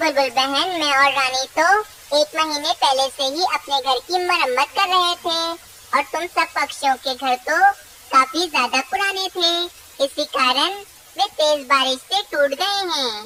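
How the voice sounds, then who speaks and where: A high-pitched, cartoonish character voice. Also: moderate pace. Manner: scheming, gloating.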